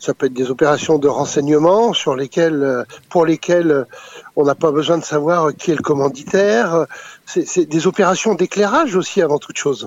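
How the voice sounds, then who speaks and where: Noticeable noise sits behind a man who speaks in a fairly high register at a moderate speed, his pitch varying in an ordinary way. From France. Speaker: former intelligence operative and author. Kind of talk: interview. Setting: phone call.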